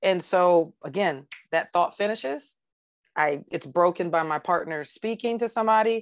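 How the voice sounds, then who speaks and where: A woman's unremarkable speaking voice, fairly low and with lively intonation, at a moderate pace over a quiet background. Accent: American. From US South (Georgia). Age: 40s. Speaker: retired police officer. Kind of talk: interview testimony.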